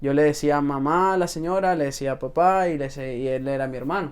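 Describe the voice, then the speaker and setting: A man talks in an unremarkable speaking voice. His pace is moderate, and his pitch variation is ordinary. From Venezuela. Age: 20s. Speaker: salesman. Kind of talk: podcast interview.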